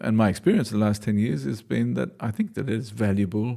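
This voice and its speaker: On a very clean recording with a silent background, a man speaks in a dark, mellow tone with ordinary pitch variation. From Australia, Newcastle. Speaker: dancer and choreographer. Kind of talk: interview. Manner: halting.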